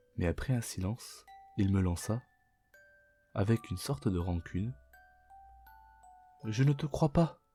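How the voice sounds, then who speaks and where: The speech moves at a very slow pace, with music in the background. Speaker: Vtuber language teacher reading aloud. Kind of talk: audiobook-style reading for sleep.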